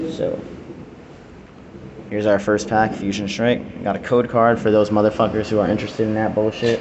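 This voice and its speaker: The speaker talks at a moderate pace over light background noise. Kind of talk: casual card opening commentary. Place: home room. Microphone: phone near.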